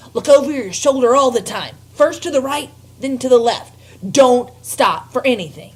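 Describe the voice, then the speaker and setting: A woman speaks at a moderate pace in a high-pitched voice. She is putting on a character voice. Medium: read story. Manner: brisk, impatient.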